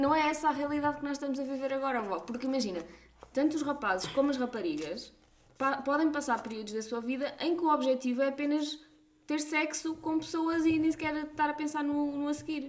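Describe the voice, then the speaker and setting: A high-pitched woman speaks fairly quickly while background noise stays noticeable. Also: ordinary pitch variation. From Portugal, Coimbra region. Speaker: podcast host, doctor. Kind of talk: casual chat.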